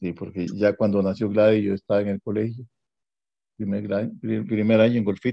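A man's fairly low, monotone voice with flat intonation and long, frequent pauses. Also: moderate pace. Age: 70s. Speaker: family elder sharing memories. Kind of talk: interview.

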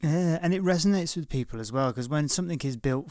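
On a very clean recording with a silent background, a man with a Liverpool accent speaks with ordinary pitch variation. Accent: Liverpool (Scouse). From northwest England, Liverpool. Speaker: podcast host. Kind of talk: interview. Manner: halting, repeats words.

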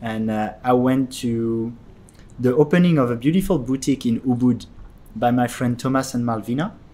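A man talks at a medium pitch in a dark, mellow tone with ordinary pitch variation. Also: moderate pace. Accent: French. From France, Paris. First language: French. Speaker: podcast host. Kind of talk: casual chat. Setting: tea house.

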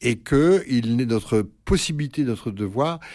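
A man speaks with a dark, mellow tone and lively intonation on a very clean recording with a silent background. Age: 60s. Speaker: priest and psychoanalyst. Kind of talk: radio interview. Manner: halting, many hesitations.

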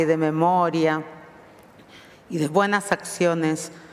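Over noticeable background noise, a woman speaks very slowly at a fairly low pitch. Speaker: rabbi. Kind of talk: sermon. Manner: mixes Spanish with Portuguese.

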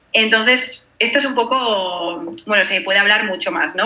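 A woman's medium-pitched voice with lively intonation at a moderate pace, with noticeable background noise. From Spain, Granada. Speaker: traveler. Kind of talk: casual chat. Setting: video call.

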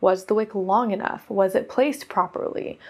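A woman speaks in an ordinary speaking voice with an American accent. Her fairly high pitch stays fairly even, and her pace is moderate. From US West Coast (Oregon). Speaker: podcast host, modern witch. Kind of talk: casual solo talk.

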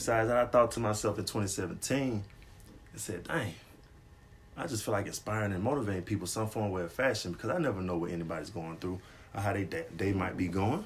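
The somewhat breathy voice moves at a very fast pace with ordinary pitch variation. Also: man, fairly low pitch for a man. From Atlanta area, Georgia. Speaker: podcast co-host, motivational Instagram page runner. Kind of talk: casual chat.

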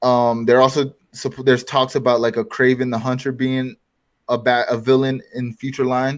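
In a very clean recording with a silent background, a man talks at a moderate pace in an unremarkable speaking voice. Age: 20s. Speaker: podcast co-host. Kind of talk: casual chat.

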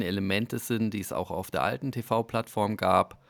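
In a dry, close sound with no echo, a man with a plain, everyday voice speaks at a fairly slow pace and a fairly low pitch with ordinary pitch variation. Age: 40s. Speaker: media team member at a football club. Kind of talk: casual interview chat. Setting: video call from training camp.

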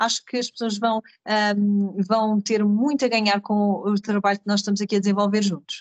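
A woman at medium pitch and a moderate pace, monotone and flat in intonation, with a dry, close sound and no echo. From Portugal, Carcavelos (Lisbon area). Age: 30s. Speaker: podcast co-host, business leader. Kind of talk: casual conversational podcast. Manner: hesitant, many fillers.

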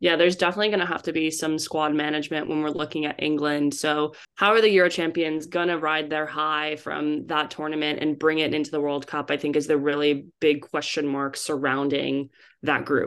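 A woman with an American accent talks at a fairly quick pace with hardly any pauses. Her pitch is very deep and low, and her intonation is monotone and flat. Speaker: podcast co-host. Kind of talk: casual chat.

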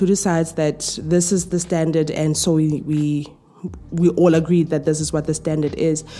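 A woman's fairly low-pitched voice at a moderate pace, with noticeable background noise. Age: 30s. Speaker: podcast host. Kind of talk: casual monologue. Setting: at home.

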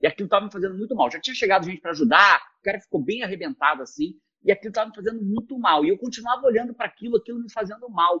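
Raised and projected, a man's high-pitched voice with a bright, sharp tone races at a very fast pace in a dry, close sound with no echo. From Rio de Janeiro, Brazil. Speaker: productivity expert. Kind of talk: casual interview chat.

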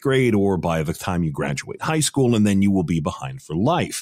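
Recorded very cleanly over a silent background, a man speaks at a moderate pace with very wide pitch swings. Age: 40s. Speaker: news correspondent. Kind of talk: casual news discussion.

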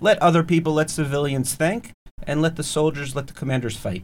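The speaker is a man whose voice sits fairly high in pitch. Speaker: podcast host. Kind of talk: podcast interview, conversational. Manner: animated, friendly.

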